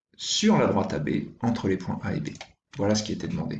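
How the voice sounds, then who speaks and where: At a medium pitch, a man speaks in a somewhat breathy voice. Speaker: primary school teacher. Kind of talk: tutorial.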